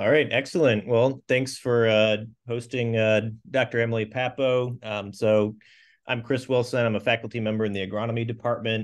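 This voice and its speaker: Monotone, flat intonation against a quiet background. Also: man. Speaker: professor. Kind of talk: speaker introduction. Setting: classroom. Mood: warm, appreciative. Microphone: video call.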